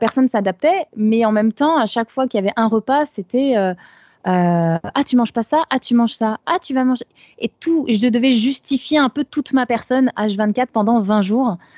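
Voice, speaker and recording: With an unremarkable speaking voice, a woman talks at a fairly high pitch, with ordinary pitch variation and very even loudness. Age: 20s. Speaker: caller. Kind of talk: testimony on a live call-in show.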